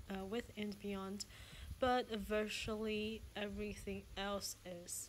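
A woman's very slow, monotone, flat delivery over light background noise. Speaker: travel agent host. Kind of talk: casual tour commentary. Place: home room. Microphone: phone near.

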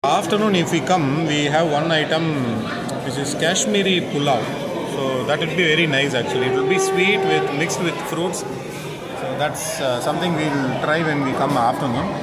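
Crowd noise fills the background as a man talks. His pace is moderate and his pitch varies in an ordinary way. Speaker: food vlogger. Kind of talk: casual vlog chat. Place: cafe. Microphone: phone near.

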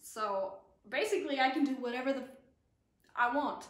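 Speaking at a moderate pace with lively intonation, a woman's high voice comes through with audible room echo. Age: 20s. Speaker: actress; actress introducing herself. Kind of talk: casual chat. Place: home room.

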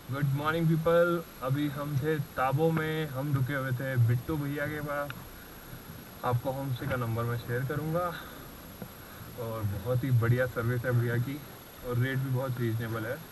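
Over noticeable background noise, a man speaks at a fairly slow pace. His intonation stays fairly even. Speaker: motorcycle travel vlogger. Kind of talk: casual vlog chat. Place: motorbike. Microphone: helmet.

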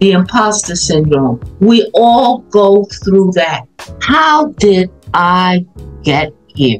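Very wide pitch swings at a very slow pace, with faint music in the background. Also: woman. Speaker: retired academic and coach. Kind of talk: motivational talk on group video call. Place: home room. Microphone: video call.

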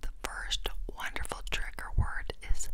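A woman whispering at a very slow pace, with a dry sound, no echo, and noticeable background noise. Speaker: ASMR creator. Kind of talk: ASMR whispered trigger words. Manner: crisp close-mic whisper. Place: home room. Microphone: lapel.

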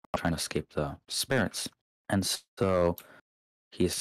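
In a very clean recording with a silent background and a dry, close sound free of echo, a man talks with a very deep, low pitch and fairly even intonation. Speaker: Discord moderator. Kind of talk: casual ASMR-style storytelling, explaining video game lore. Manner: soft-spoken, casual, joking, unsure at times.

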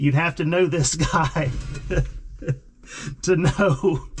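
Music plays in the background as a man speaks very slowly with ordinary pitch variation. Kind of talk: casual vlog chat. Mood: amused, relaxed. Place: farm machine. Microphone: camera far.

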